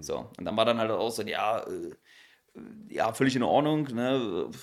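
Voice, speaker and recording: A man with an ordinary speaking voice talks at medium pitch and a moderate pace, in a very clean recording with a silent background. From Berlin (East). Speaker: stand-up comedian and social media creator. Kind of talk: casual chat.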